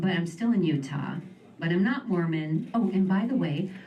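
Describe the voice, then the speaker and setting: This woman speaks with an American accent at a medium pitch. Music plays in the background. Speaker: stand-up comedian; writer in film and TV development. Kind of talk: live stand-up comedy set. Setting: live venue with audience.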